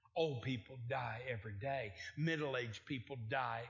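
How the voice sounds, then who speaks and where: A man talks at a moderate pace with ordinary pitch variation. His voice is somewhat breathy, and the room echo is audible. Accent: American. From Oklahoma. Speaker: traveling evangelist preacher. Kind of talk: sermon. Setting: church with congregation. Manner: animated.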